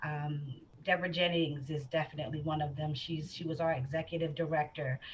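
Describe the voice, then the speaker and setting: A woman talks at a fairly quick pace with a very deep, low voice. Her delivery is somewhat breathy. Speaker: school board member and civil rights commissioner. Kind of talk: panel discussion. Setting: live stream panel. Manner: animated.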